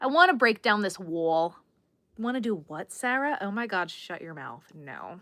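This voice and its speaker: A bright, sharp tone at a moderate pace, with very wide pitch swings and big swings in loudness, in a very clean recording with a silent background. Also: woman, medium pitch for a woman. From Long Island, New York. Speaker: crochet livestreamer. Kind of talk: casual livestream chat while crocheting. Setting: live stream. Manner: chatty, reads out viewer comments.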